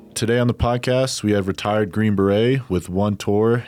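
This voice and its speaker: A normal speaking voice moves at a moderate pace with ordinary pitch variation, recorded very cleanly against a silent background. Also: man. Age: 30s. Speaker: podcast host. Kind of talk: interview. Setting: studio.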